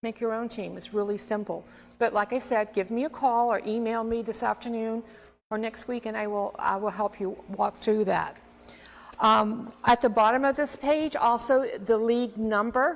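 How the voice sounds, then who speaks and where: A woman's fairly high voice at a moderate pace, with noticeable background noise. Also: fairly even intonation. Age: 60s. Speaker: extension health educator. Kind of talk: informational presentation. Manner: casual, conversational.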